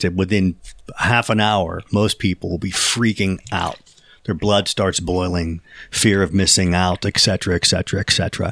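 With an American accent, the voice moves at a very slow pace in a flat monotone, recorded dry and close with no echo. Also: man, very deep, low pitch for a man. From Pittsburgh, western Pennsylvania. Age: 50s. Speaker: professional musician. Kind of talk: casual chat.

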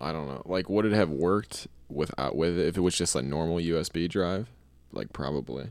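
Vocal fry marks this man's very deep, low-pitched voice. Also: ordinary pitch variation. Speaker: podcast co-host. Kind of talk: casual chat, podcast banter.

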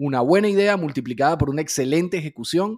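In a very clean recording with a silent background, a man with an ordinary speaking voice talks at a fairly quick pace with lively intonation. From Venezuela. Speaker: podcast host. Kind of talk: interview.

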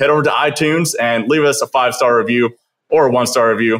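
A man at a medium pitch, speaking at a fairly quick pace. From Kelowna, British Columbia, Canada. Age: 20s. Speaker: podcast host. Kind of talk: casual interview chat.

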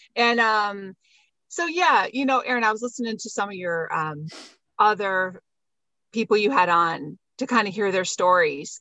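A woman's plain, everyday voice with ordinary pitch variation at a moderate pace. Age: 50s. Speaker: homeschooling mother. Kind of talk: casual chat and personal testimony.

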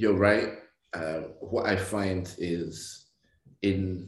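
The speaker is a man with a fairly low pitch and ordinary pitch variation. His voice is somewhat breathy. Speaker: podcast co-host comedian. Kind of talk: casual banter podcast chat. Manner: animated, joking, laughing.

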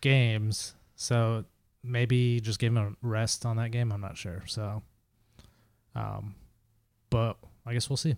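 A man's mumbling at a medium pitch, monotone and flat, at a very slow pace with long, frequent pauses, on a very clean recording with a silent background. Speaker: soccer podcast co-host. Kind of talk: casual chat.

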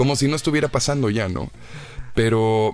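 At a medium pitch, a man talks fairly quickly. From Mexico, Monterrey. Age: 20s. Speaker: actor and TV presenter. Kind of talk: interview.

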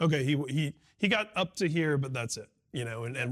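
On a very clean recording with a silent background and a dry, close sound with no echo, a man speaks at a medium pitch. His is a plain, everyday voice with ordinary pitch variation. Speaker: music journalist. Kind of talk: interview. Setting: at the guest's home.

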